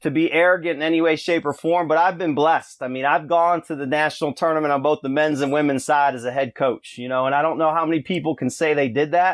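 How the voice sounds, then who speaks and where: A man with an unremarkable speaking voice and an American accent, fairly high pitch, fairly even intonation and a fairly quick pace, in a dry, close sound with no echo and a very clean recording with a silent background. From Rochester area, western New York. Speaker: basketball coach. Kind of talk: casual interview.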